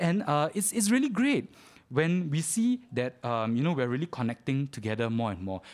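His pitch fairly high, a man speaks with very wide pitch swings. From Singapore. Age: 30s. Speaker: preacher. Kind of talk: sermon. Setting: church. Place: church.

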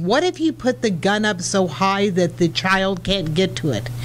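A woman with an American accent over light background noise. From US Midwest. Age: old. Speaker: gun store owner; radio guest. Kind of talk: radio interview. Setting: radio studio. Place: studio. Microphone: studio mic.

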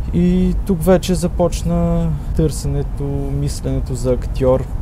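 There is a man talking with audible room echo and noticeable background noise. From Bulgaria, Ruse. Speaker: theatre directing student. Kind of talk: radio interview.

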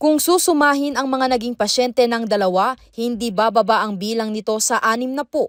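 At a moderate pace, a woman with a normal speaking voice uses ordinary pitch variation, recorded dry and close with no echo against a silent background, very clean. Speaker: news reporter. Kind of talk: news report narration.

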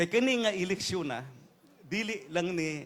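A man speaks with lively intonation. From Davao, Philippines. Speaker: politician candidate for congress. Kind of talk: rally speech, campaign stump address to a neighborhood crowd. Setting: outdoor stage rally with a crowd.

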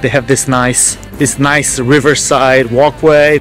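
Music plays in the background as a man speaks. The sound is dry, with no echo. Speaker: travel vlogger. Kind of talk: casual vlog chat. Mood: upbeat, relaxed. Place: street. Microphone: phone near.

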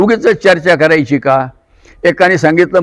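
This is a man's voice. His pitch is high. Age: 70s. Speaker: kirtan preacher. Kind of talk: interview.

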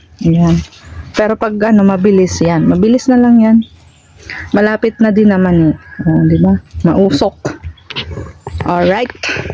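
Speech at a moderate pace with long, frequent pauses and noticeable background noise. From Philippines, Bicol (Albay). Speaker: vlogger. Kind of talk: casual vlog narration. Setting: outdoors on a coconut farm.

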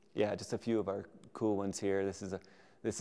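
The man's voice has a dark, mellow tone. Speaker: presenter. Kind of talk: lecture. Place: hall.

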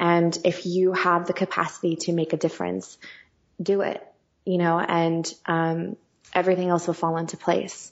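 A woman with an American accent talks at a moderate pace and a fairly low pitch. Her intonation stays monotone and flat. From US West (California). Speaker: singer and songwriter. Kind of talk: interview conversation.

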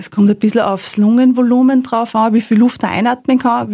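Her voice is fairly high in pitch, dark and mellow, and somewhat breathy. The woman speaks at a fairly quick pace with fairly even intonation. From Upper Austria, Rohrbach district. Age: 30s. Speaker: lawyer and freediver. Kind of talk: interview.

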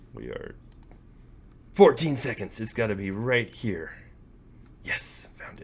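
Pausing long and often, a man speaks very slowly, his loudness swinging widely. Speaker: gaming YouTuber. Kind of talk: casual gameplay commentary. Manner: rambling, self-deprecating. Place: home room.

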